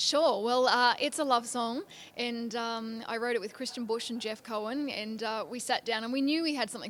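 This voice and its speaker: A woman with an Australian accent and a fairly high pitch. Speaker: country singer-songwriter. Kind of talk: interview. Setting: industry convention in Nashville.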